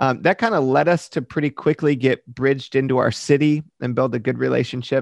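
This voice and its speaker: A man with an American accent and a plain, everyday voice speaks at medium pitch and a fairly quick pace, with fairly even intonation. The sound is dry and close with no echo, over a quiet background. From Michigan, US Midwest. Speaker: pastor. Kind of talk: interview.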